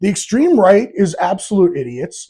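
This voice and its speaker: Loud and dark, with a mellow tone, this voice carries an American accent and very wide pitch swings. The pace is moderate, and the recording is very clean with a silent background. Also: man. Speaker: podcast host. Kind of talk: casual opinion monologue. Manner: animated.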